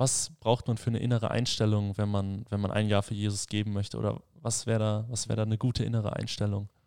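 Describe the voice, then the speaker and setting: At a very fast pace with hardly any pauses, a man speaks in a fairly low pitch with a dark, mellow tone. His intonation is monotone and flat, on a very clean recording with a silent background. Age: 20s. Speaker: mission school student leader, podcast host. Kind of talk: casual chat.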